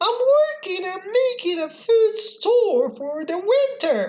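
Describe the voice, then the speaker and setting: A put-on character voice that sounds female, squeaky and pitched extremely high. She talks at a fairly slow pace. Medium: read story. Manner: polite, firm.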